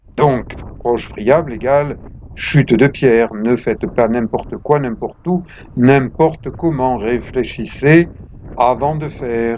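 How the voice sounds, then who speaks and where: A man speaks at a very slow pace in a medium pitch, with noticeable background noise. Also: ordinary pitch variation. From southern France, Provence (La Seyne-sur-Mer). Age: 70s. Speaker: retired lifeguard, video blogger. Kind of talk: documentary narration.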